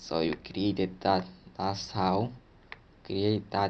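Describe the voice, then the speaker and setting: With an ordinary speaking voice, a man speaks fairly slowly at a fairly low pitch, with ordinary pitch variation. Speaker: tech tutorial presenter. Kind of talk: tutorial. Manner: casual, filler-heavy.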